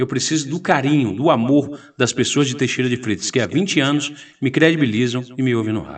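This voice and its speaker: A plain, everyday voice from a man, medium in pitch with ordinary pitch variation, at a fairly quick pace. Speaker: radio host and political candidate. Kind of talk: interview, campaign appeal.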